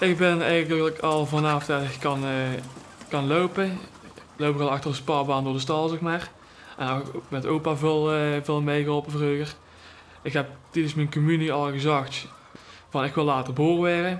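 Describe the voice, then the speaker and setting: A man's fairly high voice in a flat monotone, at a moderate pace with long, frequent pauses, and audible room echo. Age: 20s. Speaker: pig and poultry farmer. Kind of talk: documentary interview. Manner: hesitant, many fillers.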